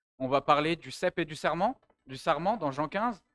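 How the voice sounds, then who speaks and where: The recording is very clean, and the background is silent. A man's voice comes through dry and close, without any echo. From France. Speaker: pastor in training, theology student. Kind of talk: sermon. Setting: church. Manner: hesitant with fillers.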